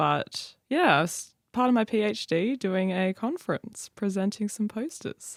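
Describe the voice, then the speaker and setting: A woman with an Australian accent is heard on a very clean recording with a silent background and a dry, close sound with no echo. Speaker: researcher and student. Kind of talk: casual chat. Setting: studio.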